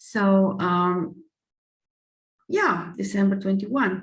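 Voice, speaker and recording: With a non-native accent, a somewhat breathy woman at medium pitch speaks at a very slow pace amid audible room echo. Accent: non-native English speaker. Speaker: astrologer. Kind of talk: lecture with slides. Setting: screen-shared online presentation. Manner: halting, many fillers.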